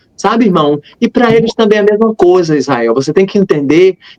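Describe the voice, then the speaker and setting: This man talks at a fairly quick clip with lively intonation. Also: dry, close sound with no echo. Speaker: missionary and religious youtuber. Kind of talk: interview testimony. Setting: live stream. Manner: fast.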